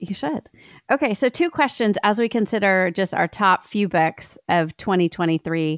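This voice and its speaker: In a very clean recording with a silent background and a dry, close sound with no echo, a woman speaks at a medium pitch with lively intonation. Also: moderate pace. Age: 40s. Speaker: writer and podcast co-host. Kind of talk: casual chat.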